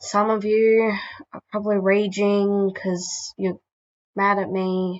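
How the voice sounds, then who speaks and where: Quiet and monotone, a woman with a medium pitch speaks at a fairly slow pace with flat intonation. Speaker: YouTuber. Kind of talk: casual talk to camera.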